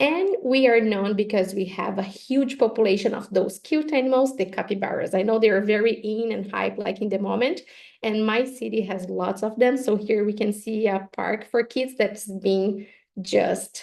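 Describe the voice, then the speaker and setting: A woman with a Brazilian Portuguese accent talks at a moderate pace, her fairly high voice rising and falling in an ordinary way. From southern Brazil. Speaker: professor. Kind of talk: webinar lecture.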